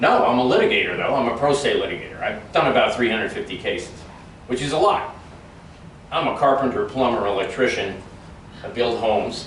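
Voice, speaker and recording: Fairly quick speech from a man, audible room echo and noticeable background noise around it. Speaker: political candidate. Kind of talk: campaign speech with audience questions. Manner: fast.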